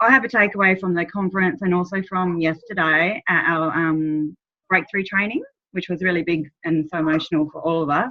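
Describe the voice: Her pitch sits fairly low for a woman, with fairly even intonation. She talks at a moderate pace.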